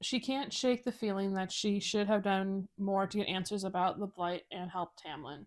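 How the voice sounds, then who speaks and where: In a very clean recording with a silent background, a woman with an ordinary speaking voice and medium pitch talks at a moderate pace. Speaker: book club co-host. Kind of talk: reading aloud.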